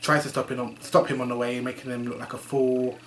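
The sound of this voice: The tone is fairly bright. The pace is moderate. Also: man.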